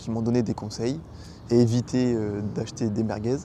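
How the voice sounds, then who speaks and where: Fairly slow and fairly even in intonation, a man speaks at a medium pitch. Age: 20s. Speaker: car YouTuber. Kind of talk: casual car review vlog. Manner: hesitant, many fillers.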